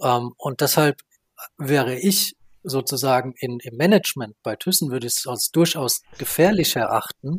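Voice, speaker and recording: In an ordinary speaking voice, a man talks at a fairly slow pace and medium pitch with lively intonation, the sound dry and close with no echo. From Baden-Württemberg, Germany. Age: 30s. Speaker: renewable energy association director. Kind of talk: interview.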